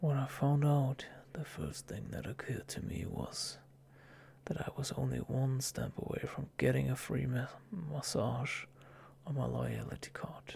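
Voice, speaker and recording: A man whispers at a fairly slow pace. Noticeable background noise is present. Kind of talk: ASMR story reading. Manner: whispering, soft.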